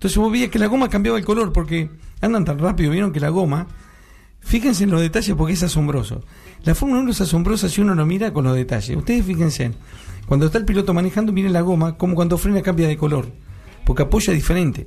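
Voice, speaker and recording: Talking at a very fast pace, a high-pitched man uses lively intonation while keeping his loudness very even. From Uruguay. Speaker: radio panelist. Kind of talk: casual chat.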